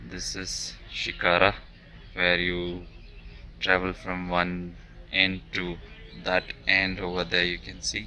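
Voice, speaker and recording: Over light background noise, a man speaks at a very slow pace in a very deep, low pitch, the sound dry with no echo. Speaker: travel vlogger. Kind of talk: casual vlog chat. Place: waterside. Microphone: phone near.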